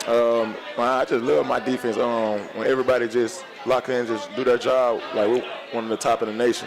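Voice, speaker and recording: A man with a strong Memphis accent speaks at a medium pitch and a fairly quick pace. His intonation is fairly even, and music plays in the background. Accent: strong Memphis Southern. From US South, Memphis, Tennessee. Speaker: college football player. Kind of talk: sports radio interview. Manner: filler-heavy, relaxed.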